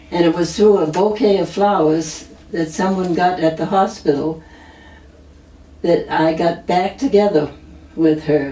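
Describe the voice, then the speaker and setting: Amid noticeable background noise, a woman with an American accent speaks at a fairly slow pace. Her fairly low voice shows ordinary pitch variation and long, frequent pauses. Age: 90s. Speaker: retired nurse, florist family member. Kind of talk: oral history interview. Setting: at her home.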